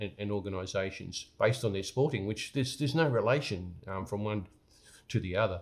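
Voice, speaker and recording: On a very clean recording with a silent background, a man with an Australian accent speaks fairly quickly, his fairly low pitch varying in an ordinary way. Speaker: business coach. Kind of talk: motivational talk to camera. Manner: halting, many repetitions and fillers.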